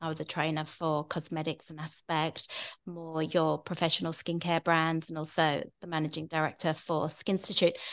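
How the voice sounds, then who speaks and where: A woman with a British accent speaks at a fairly low pitch. Her intonation is flat and monotone. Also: quiet background. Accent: British accent, living in Australia. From UK. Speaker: skincare expert podcast host. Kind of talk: casual chat. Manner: chatty, rambling.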